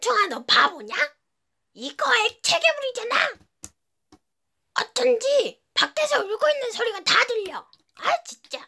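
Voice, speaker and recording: In a playful, cartoonish character voice with an extremely high pitch, the speaker moves at a moderate pace with long, frequent pauses. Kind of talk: cartoon voice impression. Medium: virtual streamer. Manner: playful, chatty.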